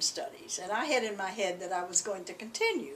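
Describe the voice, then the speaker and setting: A woman speaks in a Southern US accent with very wide pitch swings. There is noticeable background noise. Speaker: alumna. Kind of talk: oral history interview. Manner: halting.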